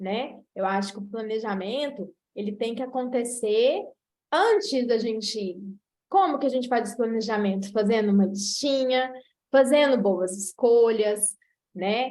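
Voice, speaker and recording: With a Minas Gerais accent, a woman speaks at a fairly high pitch and a fairly slow pace. Her pitch varies in an ordinary way, and audible room echo fills the recording. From Brazil, Minas Gerais. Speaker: nutritionist. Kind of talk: online lecture.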